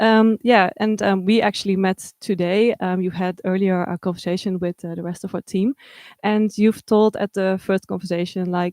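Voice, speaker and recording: A woman with a Dutch accent, medium pitch, fairly even intonation and a moderate pace. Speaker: livestream host. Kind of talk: event hosting. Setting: art supply shop livestream.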